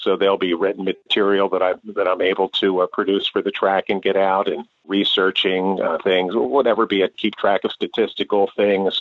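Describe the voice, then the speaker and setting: A man talks at a moderate pace. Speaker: horse racing track announcer. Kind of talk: interview. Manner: halting.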